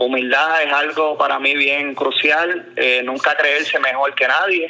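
Against noticeable background noise, a man talks at a fairly slow pace in a monotone, flat delivery. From Puerto Rico. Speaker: basketball coach. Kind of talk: interview.

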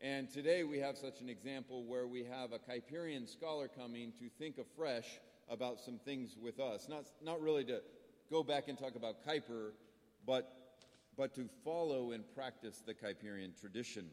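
With a medium pitch and ordinary pitch variation, this man keeps a moderate pace. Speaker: college faculty host. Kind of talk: speaker introduction. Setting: stage with audience. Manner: halting.

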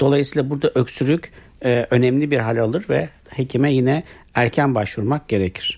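This man has an unremarkable speaking voice, fairly high in pitch, at a moderate pace. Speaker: internal medicine doctor. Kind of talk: radio health interview. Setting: radio studio. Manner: formal, explanatory.

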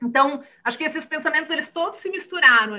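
Raised and projected, a woman's bright, sharp voice races at a very fast pace with lively intonation. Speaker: entrepreneur and mental health startup founder. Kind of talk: interview conversation.

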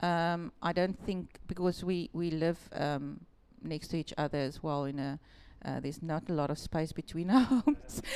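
A woman with a South African accent talks at a moderate pace in a fairly low pitch, her tone dark and mellow and her pitch varying in an ordinary way. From Western Cape, South Africa. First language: Afrikaans. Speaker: shop owner. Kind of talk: casual interview chat.

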